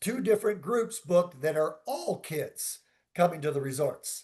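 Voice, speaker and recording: Loud and high-pitched, a man talks with lively intonation. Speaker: resort sales representative. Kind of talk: Q&A in a virtual seminar.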